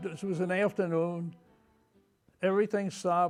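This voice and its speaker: Spoken at a moderate pace with an American accent, the delivery has fairly even intonation. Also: man. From New Jersey. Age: 80s+. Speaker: war veteran. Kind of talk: oral history interview.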